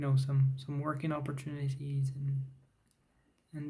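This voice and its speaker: Audible room echo surrounds a man's voice. He speaks at a fairly high pitch and sounds somewhat breathy. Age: 30s. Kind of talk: talking head vlog. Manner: halting, with fillers.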